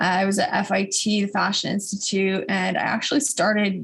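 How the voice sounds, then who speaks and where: A woman with an American accent speaks at a moderate pace and a medium pitch. Noticeable background noise sits behind her. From Phoenix, Arizona. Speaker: sex and relationship coach. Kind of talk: interview, personal story.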